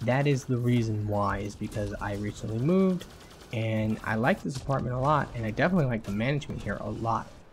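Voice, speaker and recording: A man talks very fast at a medium pitch, sounding somewhat breathy. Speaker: gaming youtuber. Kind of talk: casual vlog talk. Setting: home recording in new apartment. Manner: casual, profane.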